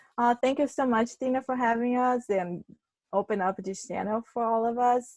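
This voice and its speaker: In a Brazilian accent, a woman talks at a moderate pace with a high pitch and ordinary pitch variation, in a dry, close sound with no echo. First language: Portuguese. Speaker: public relations consultant. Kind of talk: webinar presentation.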